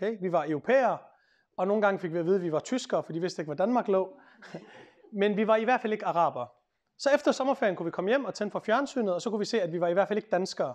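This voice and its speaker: A man talks at a very fast pace in a high pitch over a quiet background. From Denmark. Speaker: lawyer and author; speaker. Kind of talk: public talk. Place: meeting room. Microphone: lapel.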